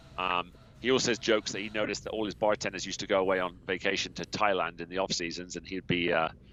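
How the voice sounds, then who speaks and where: A man speaks at a very fast pace in a very deep, low pitch. His intonation stays fairly even. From England, Somerset. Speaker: software business co-owner. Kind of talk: podcast interview.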